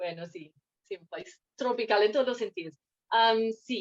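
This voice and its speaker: A woman speaks in a fairly high voice with a slight non-native accent. The sound is dry and close, with no echo. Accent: hardly any foreign accent in Spanish. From Scotland, Fife. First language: English (speaking Spanish). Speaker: guest interviewee. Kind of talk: interview. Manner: hesitant, many fillers.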